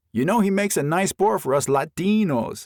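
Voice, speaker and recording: A man's put-on character voice, high in pitch with lively intonation, at a fairly quick pace with very even loudness and a dry, close sound with no echo. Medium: read story. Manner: breezy, wry.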